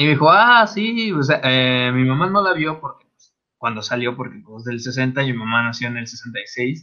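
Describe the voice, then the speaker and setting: With a Mexican accent, a man talks in a bright, sharp tone with lively intonation and big swings in loudness. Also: medium pitch for a man, moderate pace. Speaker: podcast co-host. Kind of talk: casual chat.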